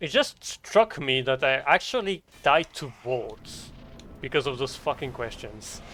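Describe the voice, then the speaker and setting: The speaker has a French accent and a bright, sharp tone, talking at a fairly slow pace with ordinary pitch variation. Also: man, fairly high pitch for a man. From France. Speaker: game streamer. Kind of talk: live gameplay stream commentary.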